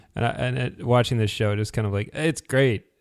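Moving at a very fast pace, a man speaks with ordinary pitch variation. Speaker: podcast host. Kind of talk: casual podcast discussion, episode recap.

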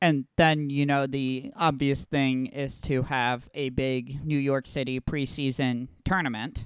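An ordinary speaking voice from a man, fairly high in pitch, fairly slow yet with hardly any pauses, and fairly even in intonation. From Texas. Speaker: soccer podcast host. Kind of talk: casual chat.

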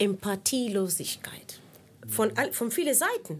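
A woman with a Spanish accent, speaking at a very slow pace. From Cuba. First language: Spanish (speaking German). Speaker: singer and lecturer. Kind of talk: casual interview. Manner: hesitant with fillers.

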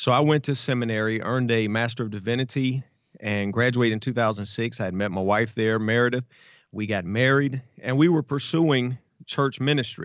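A man with a normal speaking voice and an American accent talks at a fairly quick pace, his medium pitch showing ordinary variation. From Savannah, Georgia, US South. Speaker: police officer and pastor. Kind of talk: interview storytelling.

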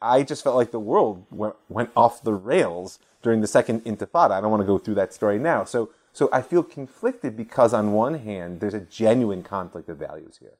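A man with an American accent talks at a fairly quick pace in an unremarkable speaking voice, medium in pitch. His intonation is lively, and the recording is very clean with a silent background. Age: 40s. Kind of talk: conversational interview about politics and Judaism.

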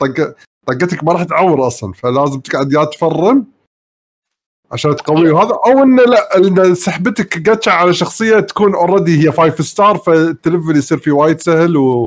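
A man with a fairly high pitch and an unremarkable speaking voice talks at a moderate pace with lively intonation. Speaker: gamer panelist. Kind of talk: casual chat. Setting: online call, live stream.

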